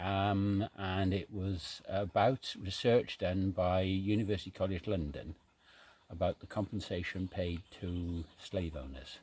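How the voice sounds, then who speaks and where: Heard over a silent background in a very clean recording, a man speaks with a very deep, low pitch. His voice is somewhat breathy and his intonation fairly even. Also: fairly slow pace. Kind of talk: casual storytelling outdoors. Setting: outdoors.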